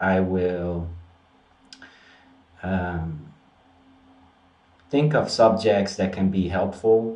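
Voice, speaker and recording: A dark, mellow voice with a Dutch accent speaks at a very slow pace, with long, frequent pauses and ordinary pitch variation. Audible room echo is present. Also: man, very deep, low pitch for a man. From Netherlands. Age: 30s. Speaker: spiritual practitioner and video host. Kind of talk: casual vlog monologue. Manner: halting, frequent repetitions and fillers.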